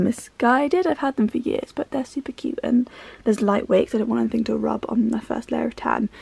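A woman with a high pitch talks at a very fast pace with lively intonation in a dry sound with no echo. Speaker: vlogger. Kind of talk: casual vlog chat. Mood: cheerful, laughing. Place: home room.

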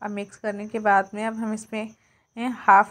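The speech moves at a fairly slow pace with monotone, flat intonation. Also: woman. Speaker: cooking youtuber. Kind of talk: cooking tutorial. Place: kitchen.

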